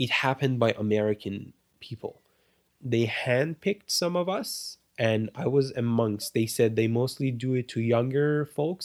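Speaking at a fairly slow pace with ordinary pitch variation, a man with an Iranian accent comes through on a very clean recording with a silent background and a dry, close sound with no echo. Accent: Iranian (Persian) accent in English. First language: Persian. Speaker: refugee sharing migration story. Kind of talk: interview, personal testimony. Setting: home studio.

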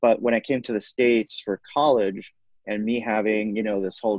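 With a Spanish accent, a man talks at a fairly quick pace in a fairly low, flat monotone. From Puerto Rico, San Juan. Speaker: psychology professor and author. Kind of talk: interview conversation.

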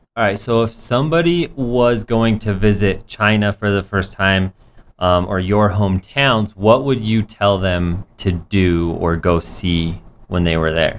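At a fairly slow pace, a man with a normal speaking voice talks at a fairly low pitch with ordinary pitch variation. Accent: American. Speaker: radio host. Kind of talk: casual radio interview. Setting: radio studio.

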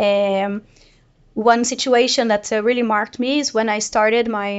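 Fairly high in pitch, this woman speaks with a Portuguese accent. Her intonation stays fairly even. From Brazil. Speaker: data product manager. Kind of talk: panel discussion. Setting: office.

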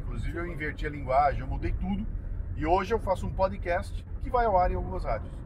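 A man talks fairly quickly amid audible room echo and noticeable background noise. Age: 60s. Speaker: radio host and podcaster. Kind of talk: casual chat. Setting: in a car.

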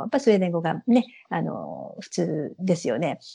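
The voice is somewhat breathy and dark, mellow in tone, with lively intonation. It moves at a moderate pace against a quiet background. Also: woman. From Japan, Saitama (Ogawa). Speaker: Japanese expatriate in Sweden. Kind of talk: casual interview.

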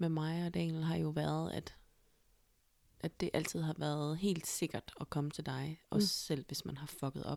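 A woman is speaking at a fairly slow pace. Her intonation stays fairly even. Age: 30s. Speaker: podcast host. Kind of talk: casual chat.

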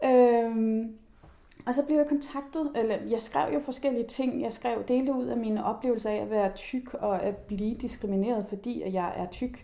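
Using an ordinary speaking voice, a woman speaks fairly slowly with a fairly high pitch that varies in an ordinary way. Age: 30s. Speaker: journalist and body activist. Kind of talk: casual chat.

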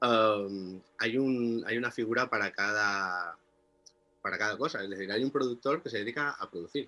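A man talks at a moderate pace in an ordinary speaking voice. His pitch sits at a medium level. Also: ordinary pitch variation. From Mallorca, Spain (Inca). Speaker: music producer and musician. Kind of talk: interview.

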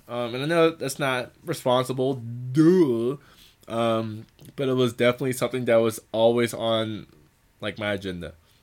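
This man's pitch is medium. He keeps a moderate pace with ordinary pitch variation. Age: 20s. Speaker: podcast host. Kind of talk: casual monologue. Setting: sitting on the floor. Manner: halting, many fillers.

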